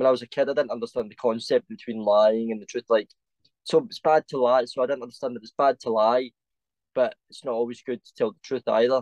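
Delivered at a very fast pace, a man's fairly even intonation comes with big swings in loudness in a dry, close sound with no echo. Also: medium pitch for a man. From Scotland, Paisley. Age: 20s. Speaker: cosplayer. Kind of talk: casual chat.

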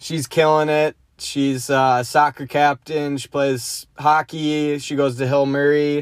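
Very slow, monotone, flat speech from a man with a fairly high pitch, dry and close with no echo, on a very clean recording with a silent background. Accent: American. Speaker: podcast host. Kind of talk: casual monologue. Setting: in a car.

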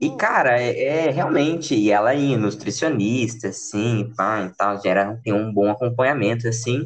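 A man with a medium pitch talks at a fairly slow pace, using ordinary pitch variation and hardly pausing at all. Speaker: podcast host. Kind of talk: casual chat.

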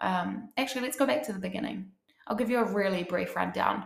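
Her voice bright and sharp with vocal fry, a woman speaks in an animated tone amid audible room echo. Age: 30s. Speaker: podcast host, coach. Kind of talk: casual solo monologue. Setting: bathtub at home.

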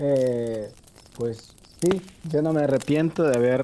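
A man at a moderate pace, ordinary pitch variation, with noticeable background noise. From El Salvador. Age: 20s. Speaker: game contest winner. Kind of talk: casual interview chat.

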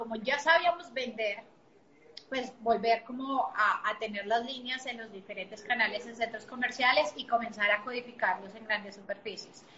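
There is noticeable background noise behind a woman with a Bogotá Colombian accent. Her pace is moderate. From Colombia, Bogotá. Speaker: entrepreneur. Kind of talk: interview.

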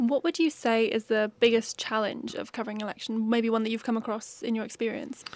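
With a South Wales accent, the speech moves at a fairly quick pace with hardly any pauses. The intonation stays fairly even. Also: woman, fairly high pitch for a woman. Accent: South Wales Valleys English. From South Wales Valleys. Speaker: journalism student podcast host. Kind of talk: interview.

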